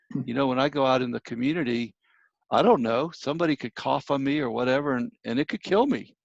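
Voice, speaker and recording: A man talks in an unremarkable speaking voice at medium pitch. His pitch varies in an ordinary way. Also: dry, close sound with no echo, quiet background. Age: 60s. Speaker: minister and grief counselor. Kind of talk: interview.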